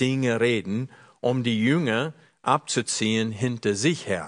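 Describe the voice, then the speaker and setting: At a fairly slow pace, a man with an unremarkable speaking voice and a medium pitch talks in a dry, close recording with no echo and a quiet background. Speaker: preacher. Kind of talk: sermon.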